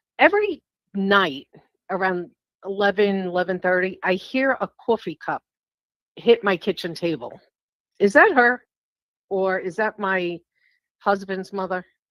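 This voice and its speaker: A woman with a New York accent speaks at a fairly slow pace with long, frequent pauses and ordinary pitch variation, in a very clean recording that has a silent background and a dry, close sound with no echo. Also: medium pitch for a woman. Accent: New York accent, noticeable. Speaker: caller seeking a reading. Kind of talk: casual chat.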